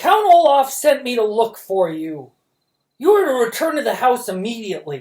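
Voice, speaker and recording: Putting on a croaky character voice, a man projects loudly at an extremely high pitch, swinging very widely in pitch at a moderate pace. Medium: read story. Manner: menacing.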